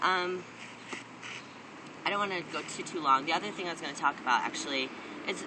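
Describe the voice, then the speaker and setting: Against noticeable background noise and audible room echo, a man speaks at a very fast pace, his fairly high pitch showing ordinary variation. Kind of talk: personal video diary. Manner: casual, many fillers and repeats.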